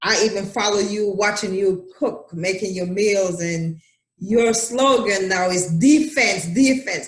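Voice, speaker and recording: The speaker talks at a fairly slow pace with a Jamaican accent. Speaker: talk show host. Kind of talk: casual interview chat.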